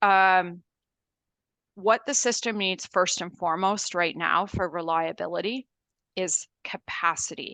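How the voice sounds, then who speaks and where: A woman with a Canadian accent talks at a fairly slow pace with ordinary pitch variation. She has an ordinary speaking voice. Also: medium pitch for a woman, dry, close sound with no echo. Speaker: energy industry consultant. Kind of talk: council delegation presentation. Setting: council meeting.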